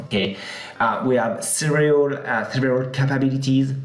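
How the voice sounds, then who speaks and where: A man with a French accent speaks at medium pitch and a moderate pace, with audible room echo and noticeable background noise. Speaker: software company product head. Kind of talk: conference presentation. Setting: live session at a conference. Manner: hesitant with many fillers.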